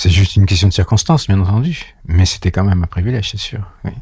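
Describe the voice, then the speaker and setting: This man has a very deep, low pitch and a dark, mellow tone that is somewhat breathy. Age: 70s. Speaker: osteopath. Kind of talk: interview.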